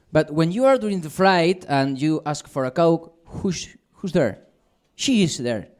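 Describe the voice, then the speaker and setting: The speaker uses lively intonation and a fairly slow pace, in a Spanish accent. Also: man, high pitch for a man. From Spain. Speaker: stand-up comedian. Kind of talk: stand-up. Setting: stage with audience. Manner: halting.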